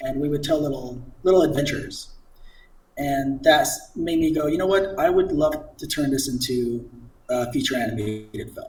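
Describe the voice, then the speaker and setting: Moderately paced, the voice is somewhat breathy and shows ordinary pitch variation. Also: man, fairly high pitch for a man. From immigrant to the US as a child. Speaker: CG artist and children's book author. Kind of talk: casual interview chat. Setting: live stream.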